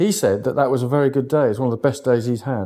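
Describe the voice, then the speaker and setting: In a very clean recording with a silent background, a man with a southern English accent speaks in a dark, mellow voice of medium pitch. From England, East Sussex. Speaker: sea angler and conservation campaigner. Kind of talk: casual interview.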